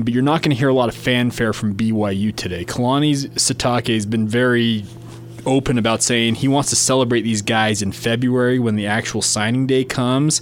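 Over noticeable background noise, a man of medium pitch talks at a fairly quick pace with fairly even intonation and very even loudness. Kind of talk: casual sports talk.

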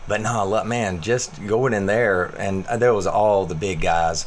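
A man speaks at a fairly low pitch and a moderate pace. Room echo is audible. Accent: American. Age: 40s. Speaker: fitness coach. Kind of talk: casual chat.

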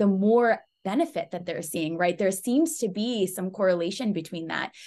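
A woman with an American accent and a plain, everyday voice, medium pitch, ordinary pitch variation and a moderate pace, against a quiet background. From US, Pakistani heritage. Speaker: podcast host. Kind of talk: interview.

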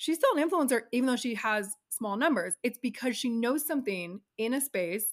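This woman's high pitch rises and falls with lively intonation. She keeps a moderate pace with hardly any pauses. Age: 40s. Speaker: talent manager. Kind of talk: casual chat.

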